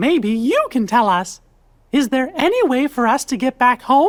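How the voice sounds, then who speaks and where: A put-on character voice speaks at a moderate pace in a high pitch. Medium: video game.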